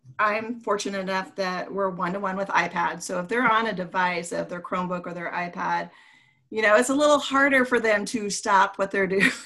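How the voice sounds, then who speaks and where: A woman with a normal speaking voice talks fairly quickly at medium pitch with ordinary pitch variation, on a very clean recording with a silent background. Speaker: elementary school teacher and podcast co-host. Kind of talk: casual educational podcast chat.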